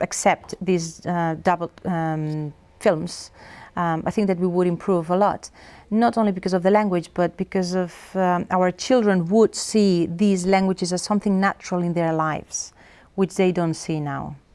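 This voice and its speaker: A woman's fairly low, dark and mellow voice in a Catalan accent, fairly even intonation, moderate pace, very clean recording with a silent background. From Catalonia, Spain. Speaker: professor. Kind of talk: interview. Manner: hesitant, many fillers.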